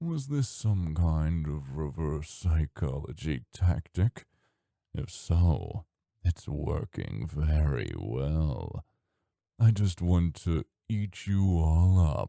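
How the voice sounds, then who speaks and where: In a put-on character voice, a man speaks very slowly at a very deep, low pitch. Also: dry, close sound with no echo. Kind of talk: ASMR roleplay. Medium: audio drama. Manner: teasing, seductive, drawling.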